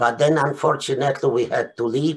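A man's fairly high, somewhat breathy voice with a Polish accent, ordinary pitch variation and a fairly slow pace. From Poland. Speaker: Holocaust survivor. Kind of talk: testimony. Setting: video call. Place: home room. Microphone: webcam.

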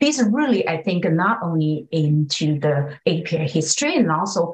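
Over a quiet background, a woman with a fairly low pitch speaks in an enthusiastic tone at a moderate pace, her pitch swinging very widely. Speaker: community organizer; panelist. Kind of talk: panel discussion. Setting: video call. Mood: earnest advocacy. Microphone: webcam.

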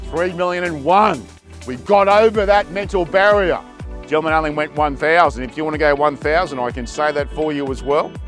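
A man talks at a moderate pace, with faint music in the background. The sound is dry, with no echo. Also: ordinary pitch variation. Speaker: auctioneer. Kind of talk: auction calling. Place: garden.

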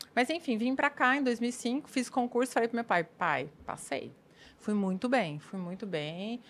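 A woman's fairly high voice at a fairly slow pace, full of very wide pitch swings. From interior of São Paulo state (Bauru); São Paulo, Brazil. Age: 40s. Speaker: police chief; guest. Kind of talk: casual chat. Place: studio. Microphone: studio mic.

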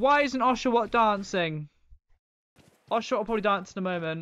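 In a British accent, a man projects a raised, high-pitched voice with a bright, sharp tone. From United Kingdom. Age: young. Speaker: gaming streamer. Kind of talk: live-stream gameplay commentary. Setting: home, live stream. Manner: casual, rambling. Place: home room.

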